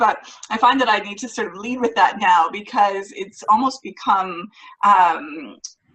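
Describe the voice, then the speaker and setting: Over noticeable background noise, a woman with a Canadian accent speaks at a moderate pace with ordinary pitch variation. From Canada. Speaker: author, speaker and mindset coach. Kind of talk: interview.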